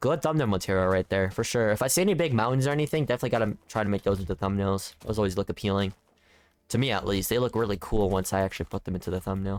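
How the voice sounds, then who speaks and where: A man talks at a very fast pace with a fairly low pitch and ordinary pitch variation. His loudness stays very even, and the sound is dry and close with no echo. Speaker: gaming youtuber. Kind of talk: gameplay commentary. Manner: relaxed, casual; jumbles words, somewhat awkward.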